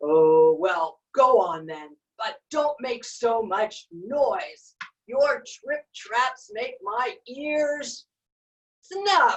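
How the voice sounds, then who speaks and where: In a put-on character voice, a woman speaks loudly and very slowly at a high pitch, her pitch swinging very widely. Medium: read story.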